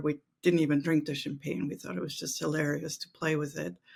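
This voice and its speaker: A woman talks at a fairly quick pace in a German accent. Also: very clean recording, silent background. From Austria, Vienna. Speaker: mental exercise coach. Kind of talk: interview.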